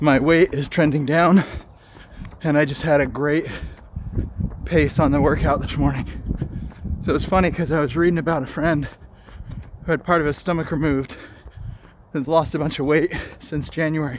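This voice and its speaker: The sound is dry with no echo, over light background noise. Delivery is fairly quick, in a monotone, flat intonation. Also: man. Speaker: fitness vlogger. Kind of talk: casual vlog chat. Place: street. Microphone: phone near.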